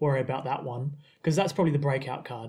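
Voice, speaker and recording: A man speaks with an Australian accent. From South Australia. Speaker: podcast host and committee member. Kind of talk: casual chat podcast discussion.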